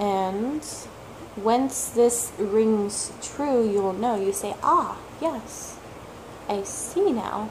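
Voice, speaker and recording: Amid noticeable background noise and audible room echo, a woman with a fairly high pitch and ordinary pitch variation speaks at a very slow pace with long, frequent pauses. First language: not English (English is third language). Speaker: tarot reader, video blogger. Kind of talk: casual talk-to-camera monologue.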